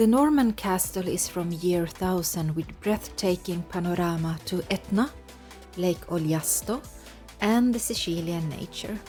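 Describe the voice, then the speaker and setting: A woman's fairly low-pitched voice at a fairly slow pace, with music in the background. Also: ordinary pitch variation. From Lapland, Sweden. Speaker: travel vlogger living in Sicily. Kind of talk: casual talk to camera, travel narration.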